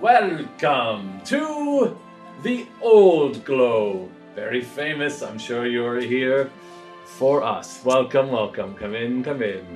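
In a put-on character voice, a man speaks at a very slow pace and a medium pitch while clear music plays in the background. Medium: actual play. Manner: eager, welcoming, self-important.

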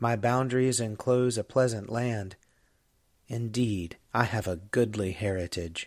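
In a plain, everyday voice, a man speaks at a fairly slow pace with medium pitch and fairly even intonation. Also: very clean recording, silent background. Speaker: Episcopal priest and podcast host. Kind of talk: scripture reading aloud.

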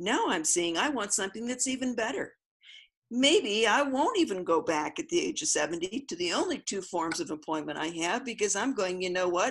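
A woman's medium-pitched voice at a moderate pace, with very wide pitch swings. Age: 70s. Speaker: self-employed spiritual commentator. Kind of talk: casual conversation.

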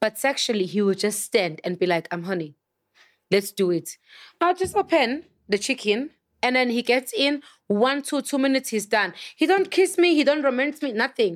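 In a Zulu accent, a woman speaks at a moderate pace and a high pitch with very wide pitch swings, her voice dry and close with no echo on a very clean recording with a silent background. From South Africa. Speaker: chef. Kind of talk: casual chat.

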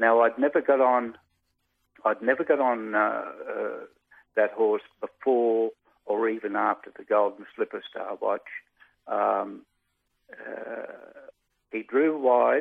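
A man speaks with an Australian accent at a very slow pace. His speech is broken by long, frequent pauses. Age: 70s. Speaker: retired jockey. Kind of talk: interview.

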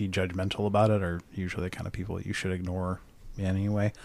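A man speaks at a fairly quick pace in a fairly low pitch, his intonation flat and monotone. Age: 40s. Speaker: podcast guest. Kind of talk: casual chat.

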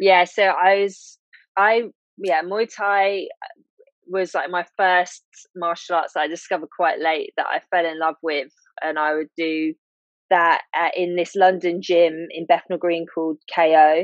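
Monotone, flat intonation from a woman with a fairly low-pitched voice. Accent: British. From UK. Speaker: illustrator and long COVID patient. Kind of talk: interview testimony.

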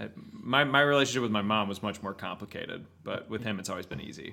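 With an American accent, a man talks at a fairly quick pace in a fairly low pitch, his tone bright and sharp, his intonation lively and touched with vocal fry. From Texas (Houston). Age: 30s. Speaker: country singer-songwriter. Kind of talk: casual interview chat.

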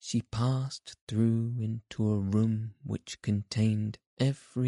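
Someone does plain reading aloud in fairly even intonation. Nothing much is heard behind it.

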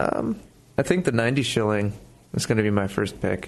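A man's fairly low-pitched voice. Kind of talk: casual chat.

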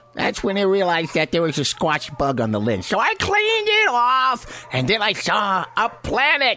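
A raised, projected voice speaks at a fairly slow pace over clear background noise. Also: man. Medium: audio drama. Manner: offhand, sarcastic.

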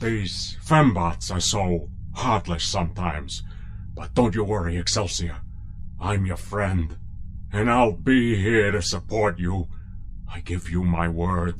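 Over clear background noise, a man in a put-on character voice speaks at a very deep, low pitch and a fairly slow pace, with long, frequent pauses. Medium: audio drama. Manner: pompous.

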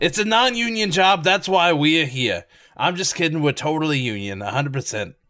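A gruff, put-on character voice from a man, in a Brooklyn accent, fairly high in pitch, with very wide pitch swings at a fairly quick pace. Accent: rough Brooklyn. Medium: actual play. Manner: blunt, rambling.

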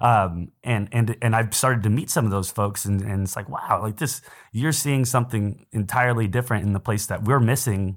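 Fairly quick and fairly low in pitch, a man with an American accent and an unremarkable speaking voice talks with ordinary pitch variation on a very clean recording with a silent background. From San Antonio, Texas. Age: 20s. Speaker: podcast co-host. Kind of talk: casual chat.

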